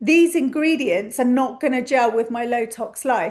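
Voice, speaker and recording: Here a woman talks at a moderate pace. Her pitch swings very widely. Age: 50s. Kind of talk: casual talk to camera.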